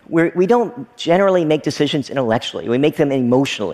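A man with an American accent, very wide pitch swings and a very fast pace, against noticeable background noise. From Kentucky, US South. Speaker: technology entrepreneur. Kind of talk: talk to an audience.

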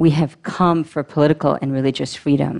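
The background stays quiet. A woman talks at a moderate pace. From Belize. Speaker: immigrant advocate. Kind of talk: talk to an audience. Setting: stage with audience.

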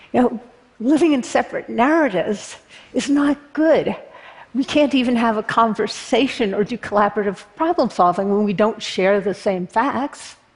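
Amid noticeable background noise, a woman with an American accent speaks at a moderate pace, fairly high in pitch with lively intonation. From Berkeley, California. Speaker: political activist. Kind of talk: talk to an audience.

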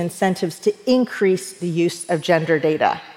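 With noticeable background noise behind her, a woman talks at a fairly slow pace and medium pitch with ordinary pitch variation. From US South, rural East Tennessee. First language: Persian. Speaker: leadership speaker. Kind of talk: talk to an audience.

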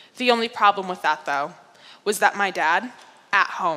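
A woman speaks in a northeastern US accent at a medium pitch. Her pace is moderate and her pitch variation ordinary. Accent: American, northeastern. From upstate New York. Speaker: speaker. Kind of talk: public talk.

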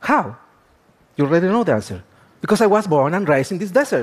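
Speaking with a Spanish accent, a man talks at a very fast pace with a high pitch and lively intonation. The recording is very clean, with a silent background. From Chile, Atacama region. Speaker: astrobiologist. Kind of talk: lecture.

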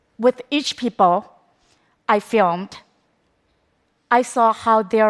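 In a very clean recording with a silent background and a dry, close sound with no echo, a woman with a Chinese accent speaks at a fairly slow pace, her fairly high pitch showing ordinary variation. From China. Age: 30s. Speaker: documentary filmmaker. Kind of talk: public talk.

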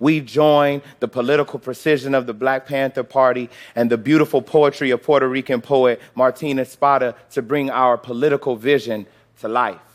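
A man with an American accent, an ordinary speaking voice, fairly even intonation and a moderate pace. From US Midwest, Chicago. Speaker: organizer. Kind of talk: scripted talk on stage.

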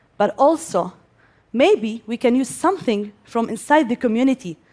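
A woman with an Arabic accent, high-pitched, moderate in pace, with very wide pitch swings. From Gaza, Palestine. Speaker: civil engineer and inventor. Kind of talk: stage talk. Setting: stage with audience.

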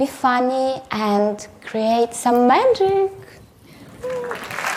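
With a Russian accent and a high pitch, a woman talks very slowly with lively intonation, audible room echo and crowd noise behind her. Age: 20s. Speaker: photographer and artist. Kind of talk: conference talk.

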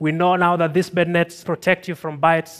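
Speaking at a fairly quick pace, a man with a high voice is heard in a very clean recording over a silent background. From Tanzania. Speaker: scientist. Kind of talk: talk to an audience. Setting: stage with audience.

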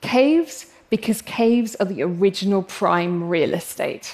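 A woman with an English accent talks with ordinary pitch variation. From England. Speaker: paleoanthropologist. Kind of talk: talk to a live audience. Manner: animated.

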